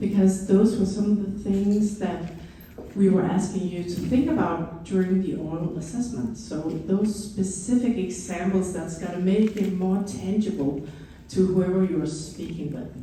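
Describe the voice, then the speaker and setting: A woman talks with a Danish accent at a medium pitch and ordinary pitch variation. Noticeable background noise and audible room echo are in the recording. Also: moderate pace. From Denmark. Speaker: educator and former principal. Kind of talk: conference presentation. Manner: enthusiastic.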